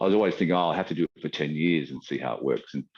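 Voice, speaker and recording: The speaker is a man. His accent is Australian. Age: 60s. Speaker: qigong teacher. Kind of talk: interview. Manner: halting.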